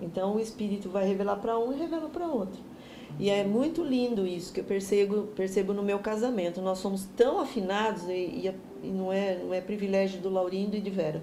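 A woman's medium-pitched voice with ordinary pitch variation, a fairly quick pace and hardly any pauses, plus audible room echo and noticeable background noise. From Brazil, São Paulo state (Jundiaí). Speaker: pastor. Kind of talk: bible teaching.

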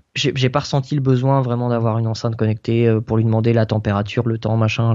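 A man talks at a very fast pace. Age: 20s. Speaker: tech blogger. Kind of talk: casual interview. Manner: hesitant, many fillers.

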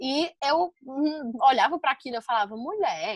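Her high-pitched voice moves through very wide pitch swings as this woman speaks. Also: dry, close sound with no echo. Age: 20s. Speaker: podcast guest, dancer and vegan. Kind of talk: casual interview.

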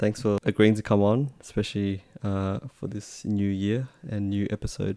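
A man with an Australian accent barely pauses at all. His tone is dark and mellow, his pitch fairly low, and his intonation fairly even. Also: moderate pace. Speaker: podcast host. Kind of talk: casual chat.

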